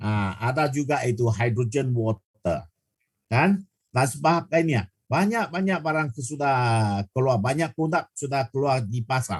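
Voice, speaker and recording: Dry and close with no echo, a man's somewhat breathy voice at medium pitch moves at a fairly slow pace with lively intonation and very even loudness. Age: 60s. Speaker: product presenter. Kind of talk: sales pitch. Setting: video call. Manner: halting.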